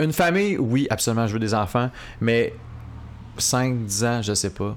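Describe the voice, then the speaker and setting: In a very clean recording with a silent background, a man's pitch moves in an ordinary way. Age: 20s. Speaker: media personality. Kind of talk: casual chat. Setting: coworking space studio.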